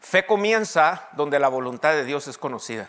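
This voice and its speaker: This man has an ordinary speaking voice, pitched fairly high, with lively intonation. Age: 50s. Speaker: pastor. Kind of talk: sermon.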